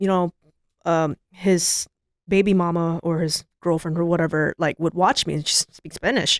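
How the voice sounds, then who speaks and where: A woman's fairly low voice carries fairly even intonation. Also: moderate pace, dry, close sound with no echo. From Southern California, San Diego. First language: Vietnamese. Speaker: DJ and event promoter. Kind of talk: casual chat.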